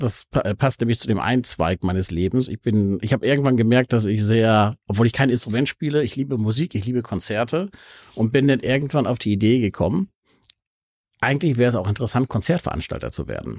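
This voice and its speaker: A man's medium-pitched voice, dry and close with no echo, lively in intonation, at a fairly quick pace, on a very clean recording with a silent background. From Hamburg, northern Germany. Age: 50s. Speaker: entrepreneur. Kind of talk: casual interview. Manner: halting, frequent word repetitions.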